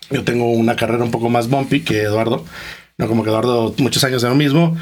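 A man with a slight Costa Rican accent talks over noticeable background noise. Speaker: entrepreneur, investment fund co-founder. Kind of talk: interview.

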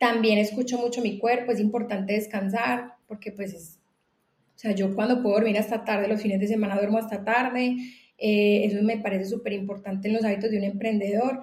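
A woman's fairly high, monotone voice at a fairly quick pace. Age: 30s. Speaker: entrepreneur. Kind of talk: casual chat.

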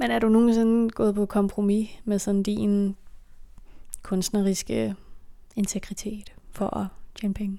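A woman speaks at a very slow pace with a medium pitch and a dark, mellow tone, her intonation monotone and flat, broken by long, frequent pauses in a very clean recording with a silent background. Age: 20s. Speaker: podcast host. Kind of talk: casual chat.

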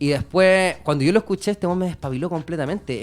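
The speech moves at a very fast pace with ordinary pitch variation in a Chilean accent. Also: man. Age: 30s. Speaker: rapper. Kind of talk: interview.

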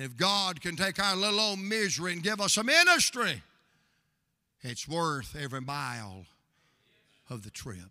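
Animated and high-pitched, a man speaks at a moderate pace with very wide pitch swings, big swings in loudness, and long, frequent pauses. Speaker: pastor. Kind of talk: fervent evening sermon, preacher in full flow, crowd-engaging call-and-response. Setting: church with live congregation. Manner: animated, impassioned, rousing; humorous, storytelling with crowd prompts.

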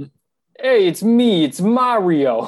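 The voice is a put-on character with a New York accent. It is raised and projected. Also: man. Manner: exaggerated.

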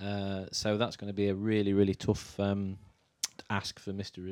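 This man speaks in a normal speaking voice at a moderate pace, his pitch fairly low. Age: 40s. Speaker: podcast guest, Superman fan and cosplayer. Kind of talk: casual chat.

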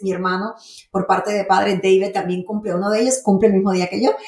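A woman speaks in an animated tone. Her pitch sits at a medium level. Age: 50s. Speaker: podcast host and faith-based life coach. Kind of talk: monologue.

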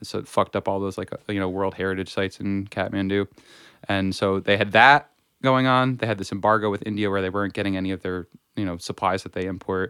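A man speaks very fast with a fairly low pitch and fairly even intonation. The sound is dry and close, with no echo. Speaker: podcast guest. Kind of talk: casual chat.

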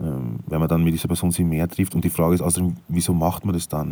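In a Styrian accent, a man talks very fast with a very deep, low pitch and fairly even intonation. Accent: Austrian German, Styrian. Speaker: podcaster. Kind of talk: casual monologue. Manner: halting, many fillers.

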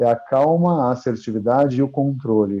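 Here a man talks at a moderate pace in a dark, mellow tone. His pitch variation is ordinary. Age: 40s. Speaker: martial arts instructor. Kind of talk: interview. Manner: halting, with many repeated words.

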